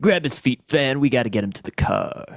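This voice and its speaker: A man uses a put-on character voice at a fairly high pitch. He keeps a moderate pace, with big swings in loudness. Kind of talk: 1930s radio acting. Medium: old radio play. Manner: gruff, sneering.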